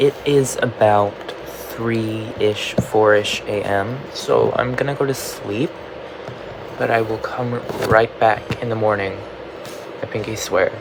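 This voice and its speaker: Noticeable background noise sits behind a man at a medium pitch. He talks at a very slow pace, with long, frequent pauses. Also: fairly even intonation. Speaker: crochet vlogger. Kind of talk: casual vlog. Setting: at home at night.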